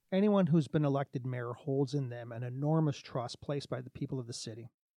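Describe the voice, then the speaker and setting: With a Canadian accent, a man in an ordinary speaking voice talks fairly quickly at a fairly high pitch, recorded dry and close with no echo against a quiet background. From Hamilton, Ontario, Canada. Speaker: mayoral candidate. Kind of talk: interview answers, partly read statements.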